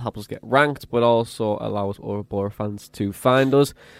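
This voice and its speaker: A man in a Teesside accent, medium in pitch, at a moderate pace with ordinary pitch variation. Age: 20s. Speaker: football podcast host. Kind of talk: casual chat.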